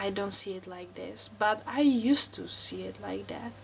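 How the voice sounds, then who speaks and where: In a Czech accent, a woman talks at a fairly slow pace and a medium pitch. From Czech Republic. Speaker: wellness vlogger. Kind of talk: personal vlog monologue. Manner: hesitant, many fillers.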